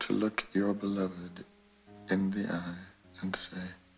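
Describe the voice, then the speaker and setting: A very slow pace over faint music in the background. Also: man. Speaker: actor. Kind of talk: film dialogue excerpt over piano music. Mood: calm, reflective, intimate. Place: home room.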